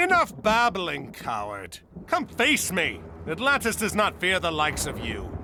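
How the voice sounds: A put-on character voice with a bright, sharp tone swings very widely in pitch. It moves at a fairly slow pace. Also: man, high pitch for a man.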